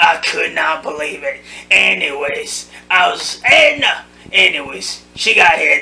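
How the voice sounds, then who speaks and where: This man uses a put-on character voice. His pitch is high. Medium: comedy sketch. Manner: rambling, gossipy.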